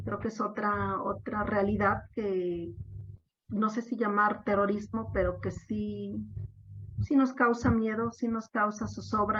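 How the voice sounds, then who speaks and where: A woman speaks at a very slow pace with noticeable background noise behind her. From Mexico, Oaxaca. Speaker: discussion moderator. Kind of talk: panel discussion.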